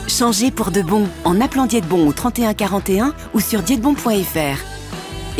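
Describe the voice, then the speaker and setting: A woman's medium-pitched voice with lively intonation, dry and echo-free, over clear background music. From France. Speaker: voice actor. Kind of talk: TV commercial read. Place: studio. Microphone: studio mic.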